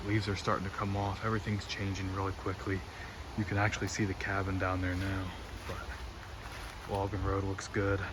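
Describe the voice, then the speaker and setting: A man speaks at a fairly low pitch in a monotone, flat intonation. The room echo is audible, and background noise is noticeable. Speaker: hunting vlogger. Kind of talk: casual vlog narration. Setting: outdoors. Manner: quiet.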